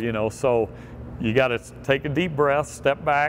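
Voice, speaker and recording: Light background noise accompanies a man speaking with ordinary pitch variation. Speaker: quarterback coach. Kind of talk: instructional talk to camera. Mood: upbeat, encouraging. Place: street. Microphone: lapel.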